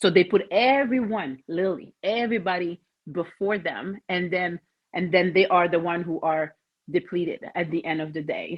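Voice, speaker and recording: With a French Canadian accent, a woman speaks at a moderate pace in a fairly low pitch with ordinary pitch variation. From Quebec, Canada. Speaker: mental toughness coach. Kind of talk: podcast interview.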